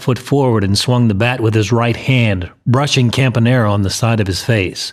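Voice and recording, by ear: Someone is reading aloud in a natural voice.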